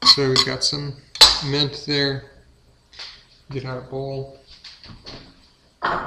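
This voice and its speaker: A fairly high-pitched man at a very slow pace, with monotone, flat intonation, long, frequent pauses, big swings in loudness and noticeable background noise. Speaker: home cook. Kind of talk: casual cooking talk to camera. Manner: halting, inconsistent rhythm.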